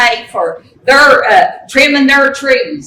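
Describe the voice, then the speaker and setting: A raised, projected voice in an Appalachian accent, fairly slow, with ordinary pitch variation and noticeable background noise. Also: woman. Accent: Appalachian Kentucky. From eastern Kentucky, Letcher County. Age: 70s. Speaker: resident giving public comment. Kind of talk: public comment testimony. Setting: public meeting room with audience. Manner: impassioned.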